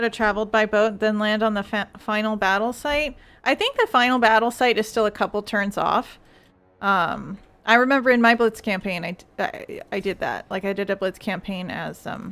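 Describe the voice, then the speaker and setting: On a very clean recording with a silent background, a woman with a normal speaking voice talks at a moderate pace, fairly high in pitch with fairly even intonation. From Canada. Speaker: co-op gamer. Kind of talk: casual chat.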